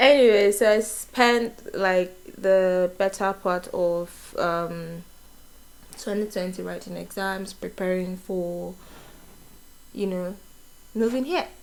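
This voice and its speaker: With a Nigerian accent, a woman of medium pitch speaks very slowly in fairly even intonation, leaving long, frequent pauses. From Nigeria, Enugu State. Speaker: vlogger, nurse. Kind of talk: casual get-to-know-me vlog. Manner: casual, hesitant with fillers.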